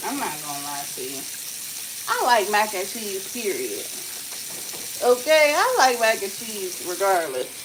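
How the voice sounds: A woman speaks at a medium pitch and a fairly slow pace, with big pitch swings, long, frequent pauses, and audible room echo.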